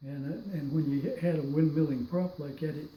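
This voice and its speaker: Somewhat breathy and dark, mellow in tone, a man with an American accent speaks in a fairly high pitch at a moderate pace with ordinary pitch variation. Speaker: war veteran. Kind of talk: testimony. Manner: halting.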